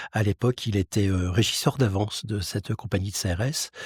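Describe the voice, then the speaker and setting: A man speaks in a somewhat breathy voice. The recording is very clean, with a silent background and a dry, close sound with no echo. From France, Lorraine (Metz). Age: 60s. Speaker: mutual insurance president, former police officer. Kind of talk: interview. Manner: hesitant, frequent fillers.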